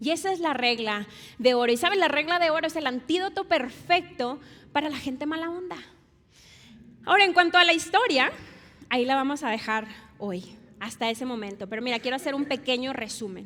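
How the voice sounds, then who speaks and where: With a Monterrey accent, a woman talks at a fairly quick pace in a high pitch, her tone bright, sharp and animated, her intonation lively, and her speech broken by long, frequent pauses. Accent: Monterrey (regio). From Mexico, Monterrey. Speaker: pastor. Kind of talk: sermon.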